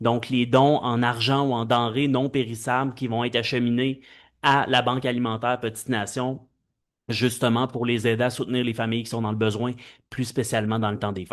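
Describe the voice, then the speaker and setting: Over a quiet background, a man speaks in a flat monotone at medium pitch and a moderate pace. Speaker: mayor chairing council meeting. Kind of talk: municipal council meeting. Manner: loud. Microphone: too loud when close to mic.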